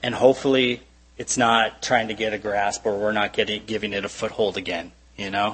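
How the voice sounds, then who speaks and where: Using an unremarkable speaking voice, a man talks at a moderate pace with fairly even intonation. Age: 30s. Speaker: preacher. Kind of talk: sermon.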